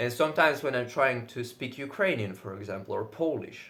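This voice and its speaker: Speaking with a Russian accent, a man moves at a fairly quick pace with ordinary pitch variation. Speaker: fitness vlogger. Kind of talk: casual monologue. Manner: loud.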